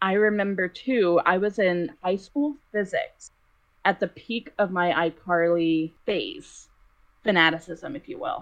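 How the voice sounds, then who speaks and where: With an American accent, a woman uses an unremarkable speaking voice at a medium pitch, speaking at a fairly slow pace with lively intonation. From Boston. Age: 20s. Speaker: podcast guest. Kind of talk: casual chat. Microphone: poor audio quality.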